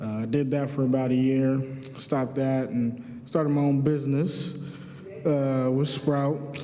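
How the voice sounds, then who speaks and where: A man speaks at a medium pitch in an American accent, his intonation monotone and flat. Noticeable background noise and audible room echo fill the recording. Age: 20s. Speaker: community economic development manager. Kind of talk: graduation speech. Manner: casual, halting with fillers.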